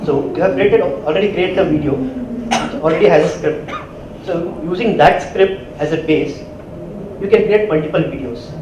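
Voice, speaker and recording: Over noticeable background noise, a man talks at a fairly quick pace in a high pitch with ordinary pitch variation. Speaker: conference presenter. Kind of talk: lecture. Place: hall.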